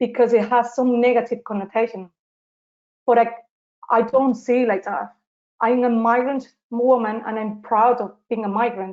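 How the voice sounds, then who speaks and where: Speaking in a Spanish accent at a moderate pace, a woman with a fairly high pitch keeps a monotone, flat intonation. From southern Spain, Seville. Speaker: social justice activist. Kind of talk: interview. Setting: live webinar. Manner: halting.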